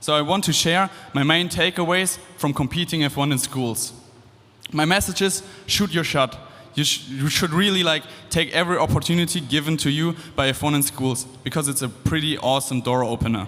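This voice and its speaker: A man with a German accent talks at a fairly quick pace in a fairly high pitch, with ordinary pitch variation and very even loudness. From Germany. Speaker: engineering student. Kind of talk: speech to student audience.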